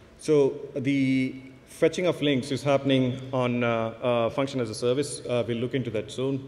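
A man talks at a moderate speed. The intonation remains fairly even. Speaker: conference presenter. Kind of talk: tech talk demo narration. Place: stage. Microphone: podium.

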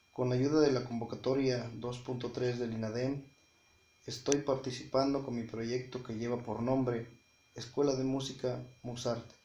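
A man's monotone, flat delivery at a fairly slow pace, with audible room echo and light background noise. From Mexico, Oaxaca (Mixteca region); Oaxaca, Mexico. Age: 30s. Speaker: music teacher and small business founder. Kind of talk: project pitch video. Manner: formal. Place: home room. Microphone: phone near.

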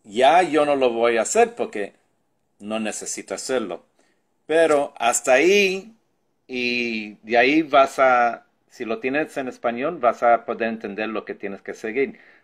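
A man with an unremarkable speaking voice, medium pitch, lively intonation and a fairly slow pace, on a very clean recording with a silent background. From New York (Brooklyn), Puerto Rican parents. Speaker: tech tutorial youtuber. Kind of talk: tutorial.

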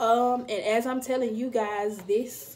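A woman speaks in a monotone, flat way over light background noise. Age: 20s. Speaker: YouTube vlogger. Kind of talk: personal vlog monologue. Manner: casual, many filler ums. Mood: earnest, reflective. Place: home room. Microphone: phone near.

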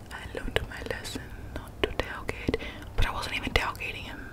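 Loud background noise behind a woman's moderately paced speech. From Australia. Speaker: ASMR creator. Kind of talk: casual talk to camera. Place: home room. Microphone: studio mic.

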